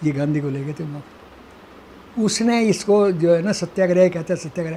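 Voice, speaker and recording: Here a man's voice is high in pitch, with ordinary variation. His pace is moderate. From Haryana, India. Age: 80s+. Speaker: retired government official. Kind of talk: interview answer.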